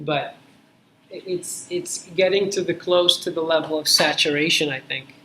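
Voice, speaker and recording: The intonation stays fairly even, with noticeable background noise behind the voice. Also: man, high pitch for a man. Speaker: university lecturer. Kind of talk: lecture. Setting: classroom with students. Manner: slow.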